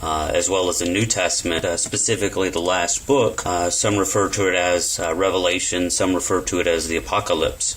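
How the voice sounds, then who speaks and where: At a fairly quick pace with hardly any pauses, a man talks at a very deep, low pitch, with very even loudness, fairly even intonation and noticeable background noise. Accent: Texan. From Texas. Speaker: interviewer. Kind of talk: interview. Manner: halting.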